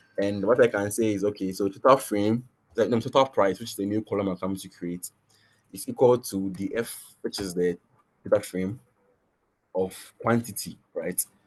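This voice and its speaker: With music in the background, a man speaks in fairly even intonation, his loudness swinging widely. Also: fairly low pitch for a man. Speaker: machine learning instructor. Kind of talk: tutorial. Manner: fast; halting, many restarts.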